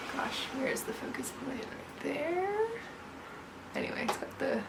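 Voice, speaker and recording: Over noticeable background noise and audible room echo, a woman talks at a fairly slow pace with ordinary pitch variation. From Newfoundland, Canada. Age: 30s. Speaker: knitwear designer. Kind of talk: casual chat. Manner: hesitant, many fillers.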